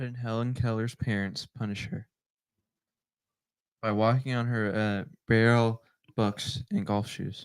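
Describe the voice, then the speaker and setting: A man in a put-on character voice, mumbling at a medium pitch and fairly slow pace with long, frequent pauses. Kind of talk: angsty teenage tone. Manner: sullen, flat, mumbled.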